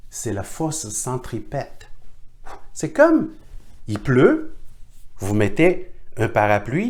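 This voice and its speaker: Speaking at a very slow pace with a non-native accent, a man leaves long, frequent pauses and his loudness swings widely. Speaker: teacher of Chinese divination. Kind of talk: online workshop lecture. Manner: halting.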